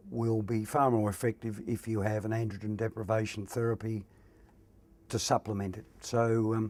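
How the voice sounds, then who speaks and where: Speaking at a moderate pace and medium pitch, a man keeps a monotone, flat intonation in a very clean recording with a silent background. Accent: Australian. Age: 60s. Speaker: prostate cancer patient. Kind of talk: testimony.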